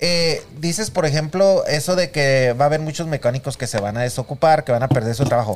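A man talks with an unremarkable speaking voice, fairly high in pitch, with ordinary pitch variation. His pace is fairly quick, with hardly any pauses. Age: 50s. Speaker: podcast co-host. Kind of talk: casual chat.

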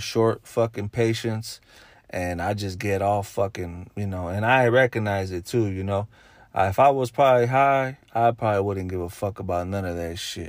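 A man with a fairly low pitch speaks at a moderate pace with fairly even intonation on a very clean recording with a silent background. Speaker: podcaster. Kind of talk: angry rant. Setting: in a car. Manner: loud, fired-up, cursing; emphatic, commanding.

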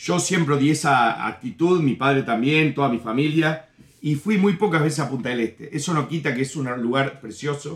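A man with a Uruguayan accent speaks at a moderate pace and a fairly high pitch, with ordinary pitch variation. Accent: Rioplatense Spanish (Uruguayan). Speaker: comedian. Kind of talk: casual chat.

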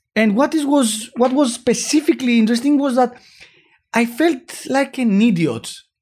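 Speaking with a Greek accent, a man uses an extremely high pitch. His pace is moderate. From Greece. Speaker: startup founder. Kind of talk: interview.

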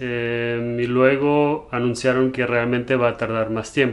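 A man with a medium pitch speaks very slowly. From Germany. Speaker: entrepreneur, business partner of host. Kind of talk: casual chat. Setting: home, game room, on video.

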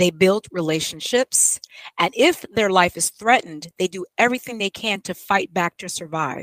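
A woman talks at a moderate pace and medium pitch in an unremarkable speaking voice with ordinary pitch variation, recorded with a dry, close sound and no echo. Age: 50s. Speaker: YouTube host and homeschooling mother. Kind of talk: casual interview.

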